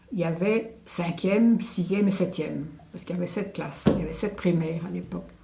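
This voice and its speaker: With audible room echo and noticeable background noise, a woman talks at a moderate pace in a medium pitch with ordinary pitch variation. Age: 80s+. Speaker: elderly local witness. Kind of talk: testimony interview. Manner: hesitant, with fillers.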